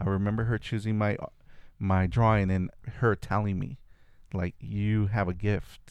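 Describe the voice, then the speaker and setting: Speaking at a moderate pace with a Spanish accent, a man keeps his fairly low voice on a fairly even intonation. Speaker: artist. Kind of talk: casual interview chat.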